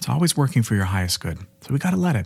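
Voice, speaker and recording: Soft-spoken and very fast, a man swings his pitch very widely in a very clean recording with a silent background. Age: 20s. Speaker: podcast host and life coach. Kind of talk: motivational monologue. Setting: solo recording. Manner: casual, frequent laughter.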